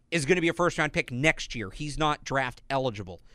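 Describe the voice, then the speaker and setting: In a very clean recording with a silent background, a man's bright, sharp tone carries lively intonation. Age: 20s. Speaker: sports podcast host. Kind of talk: casual chat. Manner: animated.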